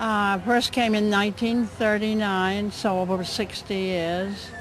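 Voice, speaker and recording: A woman at a medium pitch and fairly slow pace, fairly even in intonation, with audible room echo. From Vermont. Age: 90s. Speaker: longtime volunteer society member. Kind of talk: casual interview.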